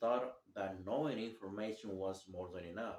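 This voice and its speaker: With a non-native accent, a man speaks with fairly even intonation. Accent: heavy non-native. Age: 30s. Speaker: vlogger sharing recovery story. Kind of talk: personal testimony. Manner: halting, many fillers.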